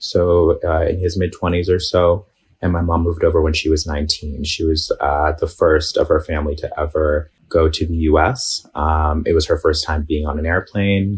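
Very deep, low-pitched man with an American accent, somewhat breathy, in a monotone, flat intonation at a moderate pace with hardly any pauses. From New York City, Bay Ridge, Brooklyn. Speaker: Palestinian American activist guest. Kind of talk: casual interview.

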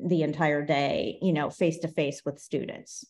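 With an American accent, a woman uses an ordinary speaking voice at a moderate pace and with fairly even intonation. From Ohio, US Midwest. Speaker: education technology manager, former principal. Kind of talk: podcast interview.

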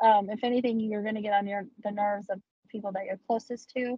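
With an American accent, the speaker talks fairly quickly in a monotone, flat intonation, somewhat breathy with a dark, mellow tone. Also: woman. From Texas. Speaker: adult content creator. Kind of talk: casual interview chat. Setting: video call.

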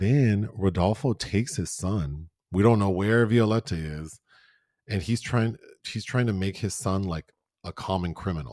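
An ordinary speaking voice from a man, fairly low in pitch and fairly slow, with ordinary pitch variation on a very clean recording with a silent background. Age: 40s. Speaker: film podcast co-host. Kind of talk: casual chat.

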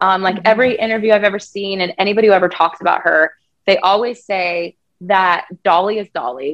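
A woman speaks in a normal speaking voice with an American accent, at a moderate pace and medium pitch. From Colorado, US (Thornton, suburbs). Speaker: country singer-songwriter. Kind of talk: casual interview.

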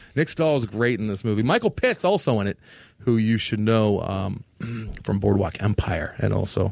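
This man has an unremarkable speaking voice, pitched fairly low. He keeps a moderate pace with ordinary pitch variation. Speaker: podcast host. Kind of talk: casual chat.

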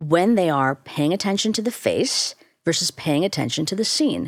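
Recorded very cleanly against a silent background, a woman with a Chicago accent speaks at a moderate pace with an animated tone and very wide pitch swings. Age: 50s. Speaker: neuroscientist and professor. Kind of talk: casual interview. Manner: brisk, slightly blunt; animated, laughs often.

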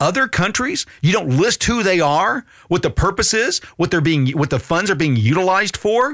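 A man speaks in a high pitch with an animated tone and very wide pitch swings, at a moderate pace. His loudness stays very even, and the sound is dry and close with no echo. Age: 50s. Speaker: political podcast host. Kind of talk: political commentary podcast.

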